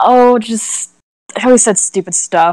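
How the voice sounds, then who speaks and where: With a high pitch, a woman talks at a fairly slow pace. The sound is dry with no echo and a quiet background. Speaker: tabletop role-play player. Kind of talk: tabletop role-play live stream. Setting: live stream voice chat. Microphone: video call.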